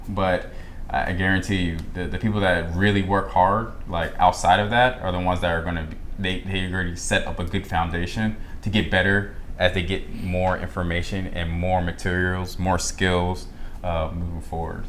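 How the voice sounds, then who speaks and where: Someone with an American accent speaks at a moderate pace in a monotone, flat intonation. There is noticeable background noise and audible room echo. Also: man. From various US military bases, home San Diego. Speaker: dance instructor. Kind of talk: casual interview.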